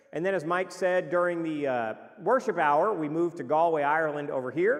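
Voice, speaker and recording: A man talks loudly. His pace is fairly quick. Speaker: missionary preacher. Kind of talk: mission report presentation.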